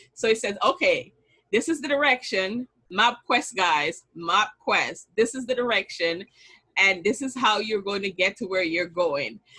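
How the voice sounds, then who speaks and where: A woman speaks with a Jamaican accent in a fairly high voice. Her tone is bright and sharp, her intonation lively and her pace fairly slow. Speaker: business strategist and bookkeeper. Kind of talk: online summit talk.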